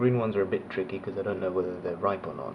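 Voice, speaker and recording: With noticeable background noise and audible room echo, a man at a fairly low pitch talks at a fairly quick pace with ordinary pitch variation. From Australia (raised there, born abroad). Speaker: motovlogger. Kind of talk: casual Q&A vlog.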